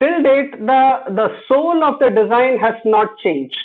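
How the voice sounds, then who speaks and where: At a fairly slow pace, a man speaks with lively intonation. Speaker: design thinking trainer. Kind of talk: online workshop lecture.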